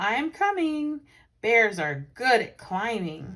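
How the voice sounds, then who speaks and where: A woman uses a put-on character voice at a fairly high pitch with very wide pitch swings. She speaks at a very slow pace. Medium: read story. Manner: earnest, polite.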